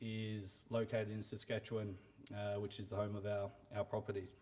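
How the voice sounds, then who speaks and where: Fairly quick in pace, a man talks with an Australian accent. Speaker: mining company CEO. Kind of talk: investor presentation. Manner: hesitant, many fillers.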